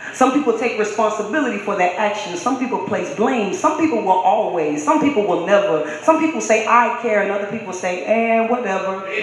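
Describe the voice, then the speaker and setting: Noticeable background noise fills the recording. The delivery is fairly quick. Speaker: spoken word poet. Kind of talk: spoken word performance.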